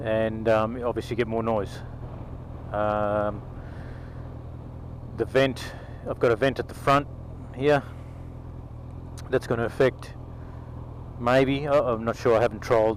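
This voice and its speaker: A man with an Australian accent speaks at a fairly slow pace in a monotone with flat intonation, leaving long, frequent pauses. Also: medium pitch for a man. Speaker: motovlogger. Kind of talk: casual vlog monologue. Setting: on a motorcycle, in helmet. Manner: loud; halting, many ums. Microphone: helmet camera mic, crackling when loud.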